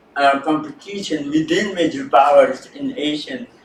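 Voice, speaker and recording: Against noticeable background noise, a man with a high pitch speaks very slowly, his intonation lively. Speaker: researcher on China. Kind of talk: panel presentation.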